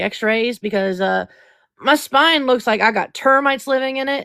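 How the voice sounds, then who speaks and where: At a fairly quick pace, a woman with a normal speaking voice and ordinary pitch variation speaks in a very clean recording with a silent background. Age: 20s. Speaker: podcast host. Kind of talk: casual chat.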